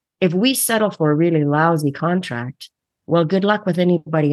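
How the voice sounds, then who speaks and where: Someone with a Canadian accent speaks with ordinary pitch variation over a quiet background. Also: woman. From Winnipeg, Manitoba, Canada. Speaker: actor, costume designer and theatre director. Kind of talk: interview.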